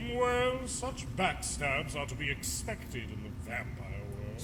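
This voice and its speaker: A man's put-on character voice at a fairly slow pace, over loud background noise. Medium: machinima. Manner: theatrical, smug.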